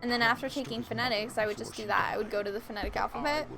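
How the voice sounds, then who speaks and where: A woman's fairly high-pitched voice with a slight northern US accent and ordinary pitch variation, over music in the background. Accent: slight northern US, longer vowels. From southern Minnesota, US. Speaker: streamer. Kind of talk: casual chat. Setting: live stream.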